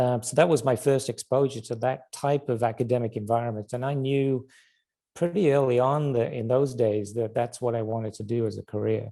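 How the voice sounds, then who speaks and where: Recorded very cleanly against a silent background, a man with a dark, mellow tone and medium pitch talks at a fairly quick pace with fairly even intonation. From northern England. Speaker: biotech research director giving a career talk. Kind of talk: seminar talk. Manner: halting, many fillers.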